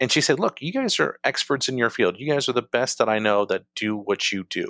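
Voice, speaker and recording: A plain, everyday voice from a man at medium pitch, with ordinary pitch variation and a moderate pace, in a dry, close sound with no echo. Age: 40s. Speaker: podcast guest. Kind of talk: casual chat. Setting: working from home.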